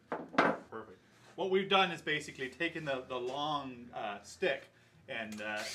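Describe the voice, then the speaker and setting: Over noticeable background noise, a man speaks at a moderate pace with a fairly high pitch and lively intonation. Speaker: composer. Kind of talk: casual tutorial. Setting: woodworking studio. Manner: hesitant, many fillers.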